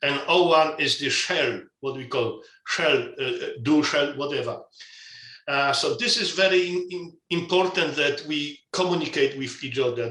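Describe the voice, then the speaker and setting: At a moderate pace and with ordinary pitch variation, a man speaks in a room with audible echo. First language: not English. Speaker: asset management standards expert. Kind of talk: webinar interview. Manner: halting with repetitions.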